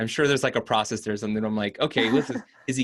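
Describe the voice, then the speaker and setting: A man's bright, sharp tone at a very fast pace. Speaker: voice over artist, impersonator. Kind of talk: interview answer. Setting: video call interview. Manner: casual, conversational.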